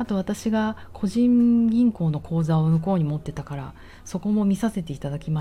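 A woman speaks at a fairly quick pace in a relaxed tone. Her voice is somewhat breathy, with lively intonation. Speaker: personal trainer and podcaster. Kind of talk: casual monologue. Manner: relaxed, laid-back.

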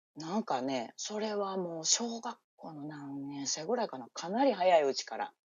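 A woman with a fairly low pitch at a moderate pace, with very wide pitch swings, big swings in loudness and hardly any pauses. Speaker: livestream guest. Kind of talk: casual chat. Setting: live audio-app stream, remote.

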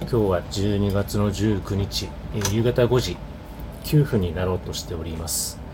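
With noticeable noise behind him, a man speaks at a fairly slow pace in a fairly low pitch, with ordinary pitch variation. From Hokkaido, Japan. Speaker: podcaster. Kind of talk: casual solo monologue. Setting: alone in an office. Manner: hesitant, many fillers.

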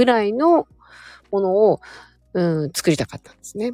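At a fairly quick pace, a woman talks in a relaxed tone, with a dry, close sound and no echo. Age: 40s. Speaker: stylist and livestream host. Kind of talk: casual livestream chat with listener comments. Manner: relaxed, rambling with frequent fillers.

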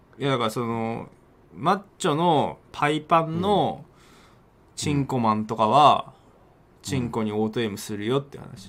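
An ordinary speaking voice: a man at medium pitch, fairly slow, with lively intonation and big swings in loudness. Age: middle-aged. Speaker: game streamer and talk radio co-host. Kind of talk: casual chat. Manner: laughs often.

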